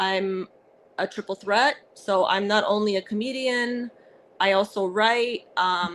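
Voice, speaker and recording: A woman talks at a very slow pace. Her voice has a medium pitch and ordinary pitch variation. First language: Arabic. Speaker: comedian and actress. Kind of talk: casual interview. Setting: podcast. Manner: halting, many fillers.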